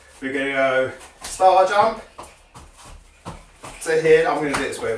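A man amid light background noise, with audible room echo. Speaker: judo coach. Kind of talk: exercise instruction. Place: home room.

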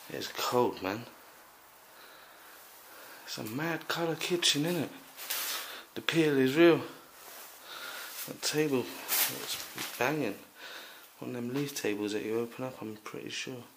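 A man speaks at a fairly slow pace with long, frequent pauses. His loudness swings widely over noticeable background noise. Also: ordinary pitch variation. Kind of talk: casual vlog commentary. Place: home room. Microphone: phone near.

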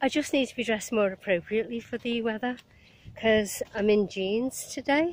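A woman with a Liverpool accent, fairly high in pitch, at a moderate pace with ordinary pitch variation. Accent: Liverpool Scouse, moderate. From Liverpool, England. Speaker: vlogger. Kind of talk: casual vlog monologue while walking. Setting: outdoors, walking by marina. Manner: chatty, rambling, cheerful.

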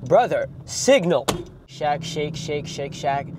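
Over noticeable background noise, a man speaks at a fairly high pitch in a dry sound with no echo. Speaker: YouTuber; food vlogger. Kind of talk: casual comedic vlog with humor and swearing; casual vlog chat. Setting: fast food restaurants, ordering at counter. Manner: animated, joking, casual. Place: car. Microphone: phone near.

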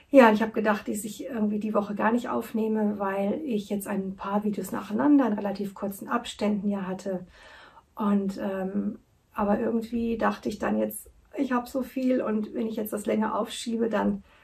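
Her voice is somewhat breathy, and her intonation stays fairly even. The woman moves along at a moderate pace. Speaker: knitting podcast host. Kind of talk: casual vlog chat. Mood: warm, cheerful. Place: home room. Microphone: camera far.

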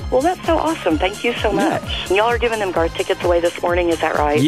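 Words pour out at a very fast pace in a dry sound with no echo while clear music plays in the background. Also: woman. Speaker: radio call-in contest winner. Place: studio.

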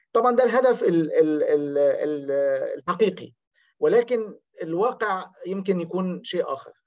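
Over a quiet background, a man with a high pitch speaks at a fairly slow pace with lively intonation. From Egypt. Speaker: academic researcher. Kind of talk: seminar presentation. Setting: video call. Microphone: video call.

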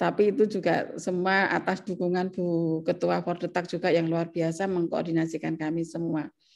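A woman's fairly low pitch in monotone, flat intonation. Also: moderate pace. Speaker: professor. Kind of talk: academic presentation. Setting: video call. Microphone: webcam.

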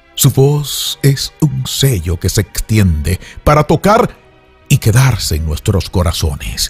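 Music plays in the background as a man with medium pitch speaks at a very slow pace. His pitch swings very widely, and the sound is dry and close with no echo. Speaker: radio announcer and host. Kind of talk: radio-style tribute narration.

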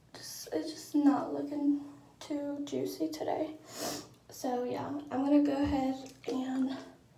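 A woman at a fairly slow pace, with audible room echo and light background noise. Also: big swings in loudness. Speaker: vlogger. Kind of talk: casual vlog chat. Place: bathroom. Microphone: phone near.

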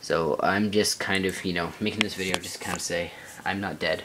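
Very fast speech over noticeable background noise. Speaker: gaming YouTuber. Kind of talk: casual vlog tutorial. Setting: home bedroom. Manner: casual, filler-heavy.

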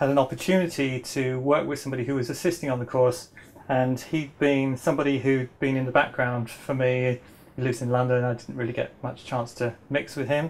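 This man talks at a fairly quick pace in a monotone, flat intonation. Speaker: permaculture teacher. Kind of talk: lecture. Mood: warm, smiling. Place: home room.

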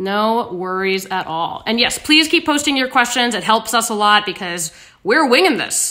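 A woman's bright, sharp voice at a moderate pace. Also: quiet background. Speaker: livestream host. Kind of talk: casual cooking livestream chat. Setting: live video stream. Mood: relaxed, friendly, chatty. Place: kitchen. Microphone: phone near.

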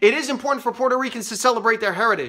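A man speaks at an extremely high pitch in a raised, projected voice. His tone is bright and sharp against a quiet background. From New York City area, US. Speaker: comedian and political commentator. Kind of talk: angry political rant to camera. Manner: biting, bitterly sarcastic escalation; emphatic, repeating points for punch. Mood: frustrated, sarcastic. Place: office. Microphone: phone near.

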